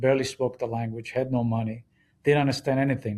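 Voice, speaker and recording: The voice has a dark, mellow tone, is somewhat breathy, and has an Israeli accent. It moves at a fairly quick pace in a very clean recording with a silent background. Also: man. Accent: foreign accent, Israeli. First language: Hebrew. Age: 60s. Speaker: business executive. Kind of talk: interview storytelling. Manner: fast.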